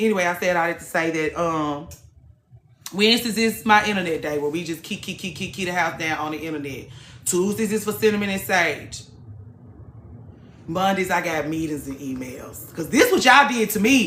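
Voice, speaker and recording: Audible room echo surrounds a woman's fairly low-pitched voice. She speaks at a moderate pace with lively intonation. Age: 30s. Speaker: livestream host, former hairstylist. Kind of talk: casual chat. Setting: live stream. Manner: loud.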